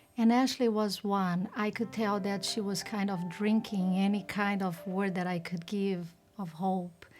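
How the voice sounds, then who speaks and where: Someone with a non-native accent speaks at a fairly slow pace in a flat monotone. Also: woman, medium pitch for a woman. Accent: foreign. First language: not English. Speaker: volunteer. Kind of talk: interview testimony.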